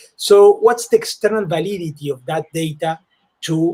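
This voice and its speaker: In a dark, mellow tone, a man talks at a fairly slow pace. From South America. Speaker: cardiac surgeon. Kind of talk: panel discussion. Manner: halting.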